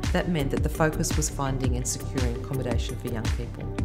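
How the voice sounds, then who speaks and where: Loud music plays in the background as a woman talks at a very fast pace. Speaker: charity staff member. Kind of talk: interview answer. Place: home room.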